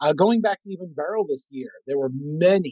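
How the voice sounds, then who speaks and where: An ordinary speaking voice with lively intonation at a fairly quick pace, recorded dry and close with no echo. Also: man. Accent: American. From Lowell, Massachusetts. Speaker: meteorologist. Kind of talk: educational presentation and interview answers.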